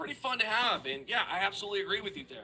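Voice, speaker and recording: Amid noticeable background noise, a man speaks in a raised, projected voice with lively intonation. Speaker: gaming YouTuber. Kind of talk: commentary reading viewer comments.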